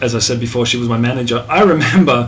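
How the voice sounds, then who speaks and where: A man of medium pitch talks with audible room echo around him. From Australia, Melbourne. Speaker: musician. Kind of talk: casual chat. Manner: halting.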